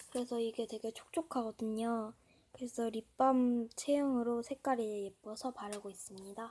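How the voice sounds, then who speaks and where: A woman's dark, mellow voice at a moderate pace, with fairly even intonation. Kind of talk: casual product review to camera.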